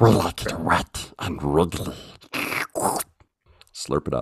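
A man puts on a character voice, pitched very deep and low, and delivers it at a fairly slow pace. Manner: slurping, gloating.

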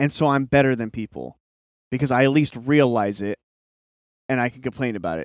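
A man speaks at a fairly high pitch with lively intonation. The sound is dry and close with no echo, on a very clean recording over a silent background. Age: 30s. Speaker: podcast host. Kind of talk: solo monologue. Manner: casual, filler-heavy.

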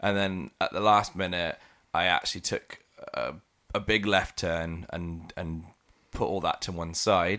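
Monotone, flat delivery in a bright, sharp tone at a fairly slow pace. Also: man, very deep, low pitch for a man. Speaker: podcast host. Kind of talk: casual chat. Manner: chatty, laughs often.

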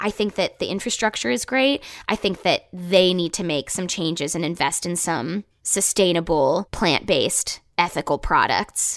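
A woman with an ordinary speaking voice talks at a moderate pace with lively intonation. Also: fairly low pitch for a woman. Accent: American. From rural Ohio, east of Cleveland. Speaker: actor and sustainability podcast host. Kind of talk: casual interview chat.

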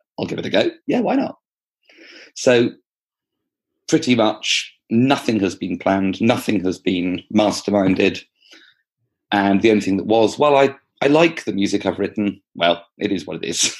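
With an English accent, a man speaks in a fairly low pitch with ordinary pitch variation and long, frequent pauses. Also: moderate pace, quiet background. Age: 40s. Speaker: primary school teacher and author. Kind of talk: interview. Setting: remote call across time zones.

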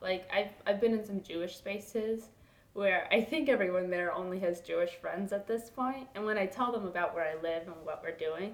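In a normal speaking voice with an American accent, the speaker talks at a moderate pace with ordinary pitch variation. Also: woman. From Los Angeles, California. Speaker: program fellow. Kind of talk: interview. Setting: in a house.

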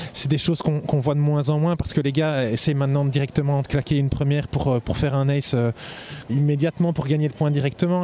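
Noticeable background noise behind a man with a fairly high pitch. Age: 40s. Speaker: tennis coach. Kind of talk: casual chat.

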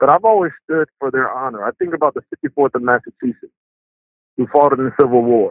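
Talking at a fairly quick pace with ordinary pitch variation, a man with fairly high pitch uses a normal speaking voice. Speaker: former football player. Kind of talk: interview.

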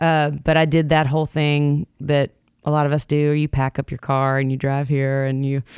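A woman speaks in a Southern US accent with a very deep, low pitch. The recording is very clean, with a silent background. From Jackson, Tennessee. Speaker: singer-songwriter. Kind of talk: casual interview chat.

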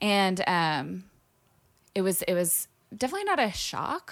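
A woman with an American accent has an unremarkable speaking voice. She talks at a fairly slow pace. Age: 30s. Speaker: musician. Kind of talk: casual chat.

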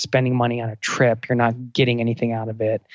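Monotone, flat intonation comes through in a Northeastern US accent. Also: man. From US Northeast, outside Philadelphia. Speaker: travel podcaster. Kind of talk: casual interview.

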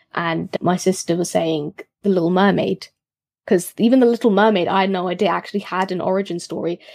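Fairly even intonation at a fairly quick pace with a British accent, in a dry, close sound with no echo and a very clean recording with a silent background. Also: woman, medium pitch for a woman. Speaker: history podcaster. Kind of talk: casual chat.

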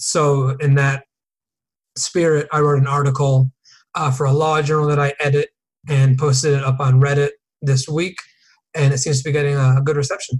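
With an American accent, a man talks at a moderate pace and a fairly high pitch, somewhat breathy and monotone, with long, frequent pauses. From US Northeast, Connecticut. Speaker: entertainment attorney. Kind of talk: casual interview.

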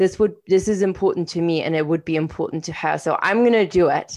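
Against a quiet background, a woman speaks fairly quickly in a fairly low pitch. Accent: non-native. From outside Canada, immigrated at 21. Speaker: podcast co-host, coach and entrepreneur. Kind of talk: casual conversational podcast chat.

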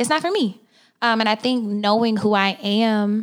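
This woman has a plain, everyday voice at medium pitch. She moves at a moderate pace with fairly even intonation. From Oklahoma. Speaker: podcast co-host. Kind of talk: casual chat.

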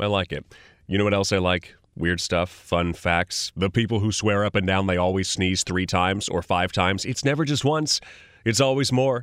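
Using a Californian accent, a man speaks at a moderate pace and fairly low pitch with ordinary pitch variation, in a very clean, dry recording with a silent background, a close sound and no echo. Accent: general American, Californian. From Sacramento, California. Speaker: podcast host. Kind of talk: casual explanatory interview. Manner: animated, conversational.

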